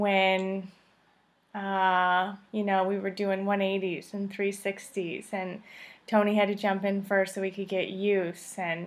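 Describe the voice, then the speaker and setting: In an American accent, a woman speaks at a very slow pace with medium pitch and monotone, flat intonation. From Illinois. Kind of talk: video greeting to family.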